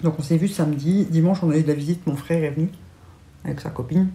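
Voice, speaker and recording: A woman's plain, everyday voice with a fairly low pitch and ordinary pitch variation. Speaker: lifestyle vlogger. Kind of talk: casual vlog chat. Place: home room.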